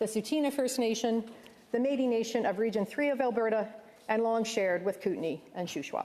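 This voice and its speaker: In an ordinary speaking voice with a Canadian accent, a woman talks at a fairly quick pace, fairly high-pitched, with ordinary pitch variation. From Canada, Ontario. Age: 60s. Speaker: senator. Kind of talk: formal speech. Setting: legislative chamber. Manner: formal.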